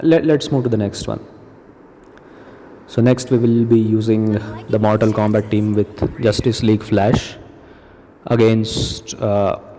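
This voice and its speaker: Amid noticeable background noise, a man speaks at a fairly slow pace and medium pitch, with fairly even intonation and long, frequent pauses. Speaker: gaming YouTuber. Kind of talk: gameplay commentary. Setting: recording at work. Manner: quieter than usual; casual, with filler words.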